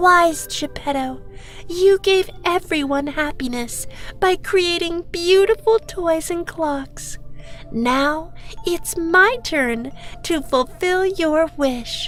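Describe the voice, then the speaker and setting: A female-sounding put-on character voice, extremely high in pitch and very slow, over clear music in the background. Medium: read story.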